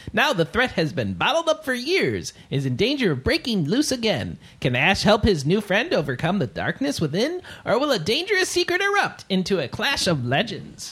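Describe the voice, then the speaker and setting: In a put-on character voice with a fairly high pitch, the speaker keeps a moderate pace with hardly any pauses. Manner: dramatic trailer narration.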